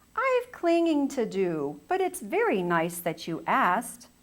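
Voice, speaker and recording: Fairly slow delivery in a put-on character voice. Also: woman, fairly high pitch for a woman. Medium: read story. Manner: hesitant, shy.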